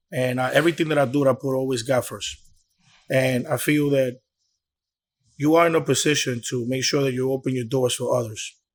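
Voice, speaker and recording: A man talks at a fairly quick pace with a Dominican accent, medium pitch and fairly even intonation, leaving long, frequent pauses. The recording is very clean, with a silent background. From Bronx, New York, Dominican family. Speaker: promoter and club owner. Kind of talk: interview. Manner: casual, repetitive.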